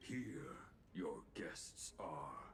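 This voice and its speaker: A man whispering in a put-on character voice, with clear background noise. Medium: video game. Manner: solemn, archaic inverted syntax.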